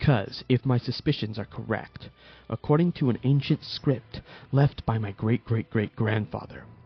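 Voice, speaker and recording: Music plays in the background as a man at a medium pitch speaks at a moderate pace with ordinary pitch variation. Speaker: fan fiction narrator. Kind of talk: fan fiction story read with character dialogue. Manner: hesitant, some stutters. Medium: read story.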